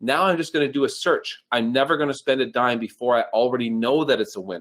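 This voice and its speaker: An excited man at a fairly quick pace, his pitch making very wide swings. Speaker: online advertising trainer. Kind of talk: live webinar training presentation. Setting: live online stream. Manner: fast, excited.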